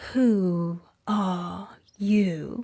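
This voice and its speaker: A female-sounding voice of medium pitch performs a put-on character voice. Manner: slow, drowsy.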